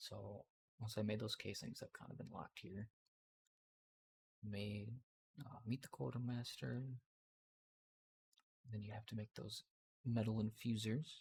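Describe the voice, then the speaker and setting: A man whispers at a fairly slow pace, somewhat breathy, with long, frequent pauses. The sound is dry and close, with no echo. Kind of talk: ASMR gameplay commentary. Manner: whispered; casual, hesitant.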